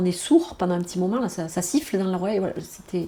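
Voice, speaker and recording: A woman's voice at a medium pitch. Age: 60s. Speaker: retired nurse, cancer patient. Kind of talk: documentary testimony. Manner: halting, with many repetitions and hesitations.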